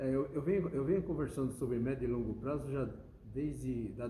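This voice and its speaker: Audible room echo hangs around a man who keeps a moderate pace. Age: 70s. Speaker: automotive engineer and business owner. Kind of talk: interview. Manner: halting.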